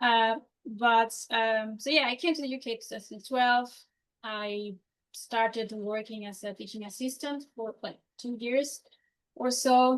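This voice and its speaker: A woman with a Mexican accent, fairly high in pitch, at a fairly slow pace with fairly even intonation and big swings in loudness. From Mexico. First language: Spanish. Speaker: career changer, consultant. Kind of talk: interview. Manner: halting, many fillers.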